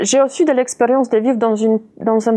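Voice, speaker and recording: This woman has a fairly high pitch and a non-native accent. Her pace is moderate and her intonation fairly even. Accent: foreign. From Poland. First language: Polish (speaking French). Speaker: interviewee. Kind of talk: interview.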